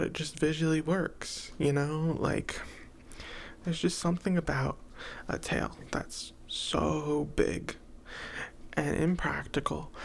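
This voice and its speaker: A soft-spoken voice at a very slow pace, with long, frequent pauses. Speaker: ASMR creator. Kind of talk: soft-spoken ASMR rambling to camera.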